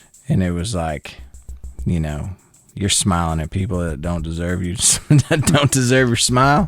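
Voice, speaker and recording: With music in the background, a man speaks in a very deep, low pitch, using lively intonation and long, frequent pauses. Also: moderate pace. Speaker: country singer-songwriter. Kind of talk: casual interview chat. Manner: halting, repetitive restarts.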